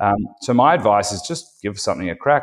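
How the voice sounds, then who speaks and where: A man talks with an Australian accent. The recording is very clean, with a silent background. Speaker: company founder and CEO. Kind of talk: interview.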